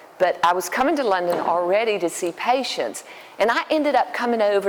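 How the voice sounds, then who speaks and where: A woman with a Southern US accent at a moderate pace, over noticeable background noise. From US South, Alabama. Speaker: dermatologist. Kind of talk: public talk. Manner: hesitant, many fillers.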